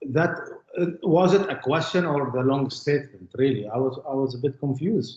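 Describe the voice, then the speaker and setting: A man talks with an Arabic accent at a fairly quick pace, using ordinary pitch variation. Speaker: witness in court. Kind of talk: court testimony. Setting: courtroom. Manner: halting.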